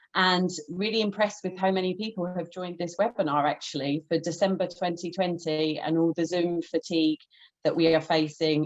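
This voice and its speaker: At a moderate pace, a woman with an unremarkable speaking voice talks at a fairly low pitch with fairly even intonation. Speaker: researcher and activist. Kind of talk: webinar presentation. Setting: video call.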